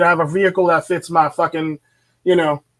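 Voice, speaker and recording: Loud and animated, a man with a high pitch talks at a very fast pace in a very clean recording with a silent background. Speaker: YouTube commentator on dating and men's issues. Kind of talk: solo vlog monologue.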